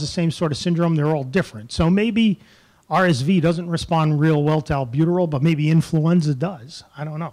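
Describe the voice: A man talks at a fairly high pitch and a moderate pace. His slightly mellow tone shows ordinary pitch variation.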